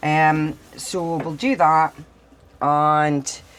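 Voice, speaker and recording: A woman with a northeast Scottish accent, plus noticeable background noise. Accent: northeast Scottish (Doric). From Scotland, Doric-speaking northeast. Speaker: vlogger. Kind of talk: casual vlog chat.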